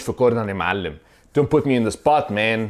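A man speaks with an Egyptian accent against a quiet background. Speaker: vlogger teaching English phrases. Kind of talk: tutorial. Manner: casual, animated. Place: home room. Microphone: lapel.

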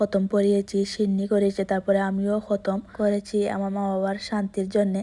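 A woman's dark, mellow, medium-pitched voice stays flat and monotone in a very clean recording with a silent background. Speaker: vlogger. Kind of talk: casual vlog narration. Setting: at home.

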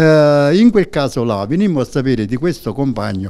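A man talks at a fairly quick pace with lively intonation. His medium-pitched voice has a dark, mellow tone over a quiet background. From southern Italy. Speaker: trade union secretary. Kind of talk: interview. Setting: studio. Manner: halting. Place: studio. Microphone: handheld.

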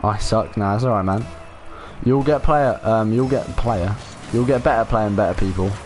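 Music plays in the background as the speaker, with a southern English accent, talks at a moderate pace with very even loudness and ordinary pitch variation. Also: man, medium pitch for a man. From southern England, Portsmouth. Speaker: gaming streamer. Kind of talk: casual live stream chat with viewers. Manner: casual, laid-back.

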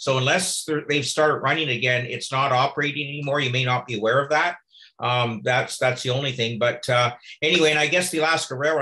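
In a Canadian accent, a man delivers his words at a very fast pace, his medium-pitched voice bright and sharp in tone with fairly even intonation. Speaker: retired railway conductor. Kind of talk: casual chat.

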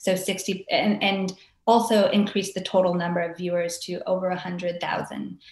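A woman talks at a moderate pace with medium pitch and monotone, flat intonation. Audible room echo surrounds her voice. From Hawaii (Maui); Hawaii. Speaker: arts organization director. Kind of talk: interview. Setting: video call. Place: home room. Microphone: webcam.

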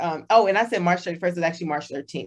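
Against a quiet background, a woman with a fairly low pitch speaks at a very fast pace with an American accent. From Texas. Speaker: podcast co-host. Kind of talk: casual chat.

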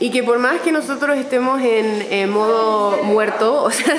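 The woman's pitch is high. Noticeable background noise can be heard. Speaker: vlogger. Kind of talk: casual vlog chat. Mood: nervous but excited. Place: hall. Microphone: phone near.

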